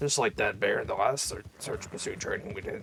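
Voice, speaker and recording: In a put-on character voice, a man talks at a fairly quick pace with a raspy sound. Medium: game stream. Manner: casual, rambling.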